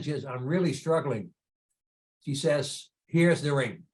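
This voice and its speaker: The man's pitch is fairly high and his voice somewhat breathy. His intonation stays fairly even at a moderate pace. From Netherlands. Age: 80s. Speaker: entrepreneur and charity founder. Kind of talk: interview storytelling.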